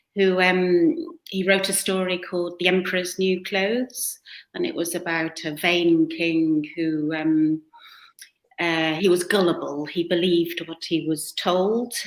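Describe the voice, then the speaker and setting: Speaking in a British accent, a woman uses a fairly low pitch and fairly even intonation at a fairly slow pace. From western England, near the Welsh border. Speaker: author and photographer. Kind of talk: interview conversation. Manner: hesitant, many fillers.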